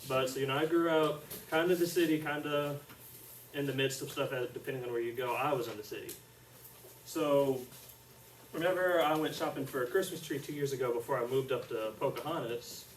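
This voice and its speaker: A soft-spoken man with an Arkansas accent talks at a fairly quick pace with fairly even intonation and long, frequent pauses. Audible room echo and noticeable background noise surround him. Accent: Southern US (Arkansas). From central Arkansas (Conway area). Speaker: student teacher. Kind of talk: classroom lesson.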